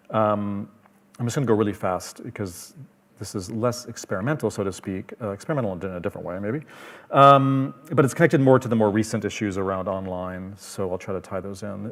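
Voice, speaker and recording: With a Canadian accent, a man talks at a fairly quick pace in a fairly low pitch, with ordinary pitch variation. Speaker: film festival programmer. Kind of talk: panel presentation. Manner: fast.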